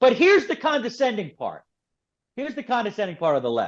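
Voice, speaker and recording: A man speaks at a very fast pace in an animated tone with a Philadelphia accent. The background is quiet. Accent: Philadelphia American English. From Philadelphia, US. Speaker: author and political commentator. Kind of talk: podcast interview.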